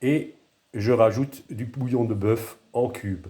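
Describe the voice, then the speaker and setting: On a very clean recording with a silent background, a man with a medium pitch sounds somewhat breathy, his tone dark and mellow. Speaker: home cooking video creator. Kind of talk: cooking tutorial. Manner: halting, with fillers and repetitions.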